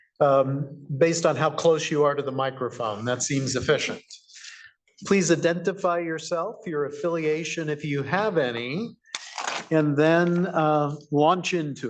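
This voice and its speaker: A man with an unremarkable speaking voice talks at a fairly slow pace, his fairly high pitch moving with ordinary variation. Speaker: commission chair. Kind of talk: meeting chairing. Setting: public meeting.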